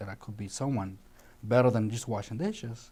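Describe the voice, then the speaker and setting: This man speaks in a Colombian accent at a fairly quick pace, his medium-pitched voice dark, mellow and somewhat breathy. His intonation stays fairly even. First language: Spanish. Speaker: chef. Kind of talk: interview. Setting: studio. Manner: halting.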